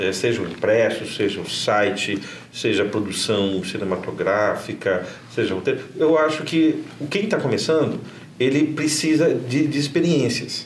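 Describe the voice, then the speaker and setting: A man with a fairly high pitch speaks at a fairly slow pace amid noticeable background noise and audible room echo. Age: 50s. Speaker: journalist and professor. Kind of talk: interview. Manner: halting, repeats words.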